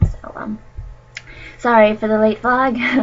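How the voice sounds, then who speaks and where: Noticeable background noise runs under this recording. A woman with an American accent speaks at a moderate pace. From United States. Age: 20s. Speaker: vlogger, nursing student. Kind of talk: casual vlog chat. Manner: hesitant, many fillers.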